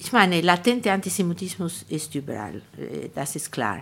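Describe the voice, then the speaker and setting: Vocal fry and very wide pitch swings at a moderate pace, on a very clean recording with a silent background. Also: woman. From Argentina. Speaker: publisher and writer. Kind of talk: interview. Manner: halting.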